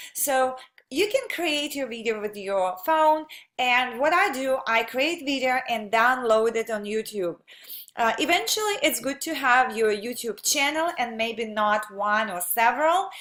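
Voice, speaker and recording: A woman's high-pitched voice with a bright, sharp tone, lively intonation, a non-native accent and a fairly slow pace. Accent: foreign. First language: not English. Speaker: online marketer. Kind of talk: tutorial. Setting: home office. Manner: halting, many fillers.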